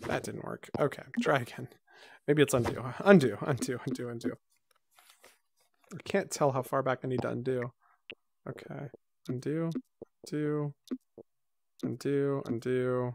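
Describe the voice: With vocal fry and long, frequent pauses, a man speaks at a fairly slow pace, at a medium pitch with ordinary pitch variation.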